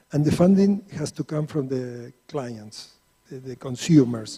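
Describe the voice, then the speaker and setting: A man talks at a fairly slow pace in a fairly high, somewhat breathy voice with a dark, mellow tone and ordinary pitch variation. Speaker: energy finance consultant. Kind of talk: panel discussion. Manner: halting, many repetitions.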